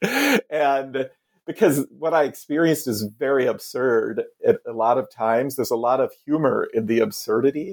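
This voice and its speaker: A man with an American accent and an unremarkable speaking voice, fairly high in pitch, ordinary pitch variation, moderate pace, dry, close sound with no echo. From US Midwest, Iowa. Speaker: author and former priest. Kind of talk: interview.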